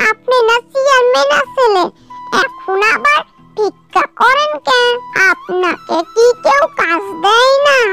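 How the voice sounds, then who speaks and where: Faint music plays behind a woman doing a cartoonish character voice. Her pitch is extremely high and her pace fairly slow. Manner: quick, practical.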